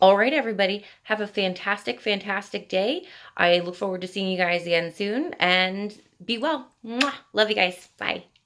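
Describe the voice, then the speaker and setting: Speaking at a moderate pace, a woman with a bubbly tone uses a medium pitch and ordinary pitch variation on a very clean recording with a silent background. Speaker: nutrition and wellness practitioner. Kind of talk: video outro to viewers.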